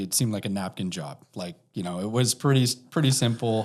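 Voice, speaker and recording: With a Canadian accent and an unremarkable speaking voice, a man talks at a fairly low pitch and a moderate pace with ordinary pitch variation. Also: very clean recording, silent background. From Canada. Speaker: precious metals storage executive. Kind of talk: casual interview.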